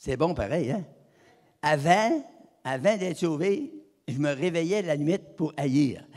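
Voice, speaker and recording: A man with a Quebec accent at a very slow pace, with ordinary pitch variation, big swings in loudness, and long, frequent pauses. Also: fairly high pitch for a man. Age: 80s+. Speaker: evangelist. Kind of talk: sermon. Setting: church. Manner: halting.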